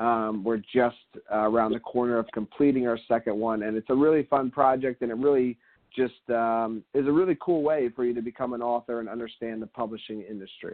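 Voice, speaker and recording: A man speaks with a medium pitch and fairly even intonation. It is an ordinary speaking voice. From Philadelphia. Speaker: entrepreneur, author. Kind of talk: interview. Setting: radio interview.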